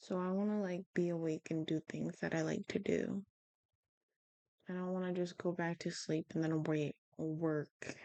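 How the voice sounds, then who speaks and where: A woman mumbles at a fairly slow pace and fairly low pitch with fairly even intonation. Her tone is dark and mellow, and the sound is dry and close with no echo. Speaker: vlogger. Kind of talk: casual monologue. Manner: mumbling; frequent pauses.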